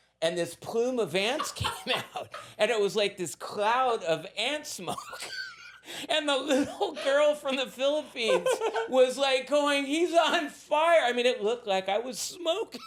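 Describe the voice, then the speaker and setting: Over noticeable background noise, a man speaks in an animated tone with an American accent. His pitch is extremely high, with very wide swings. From Southern California. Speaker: recovering addict and surf art business owner. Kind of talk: casual interview storytelling.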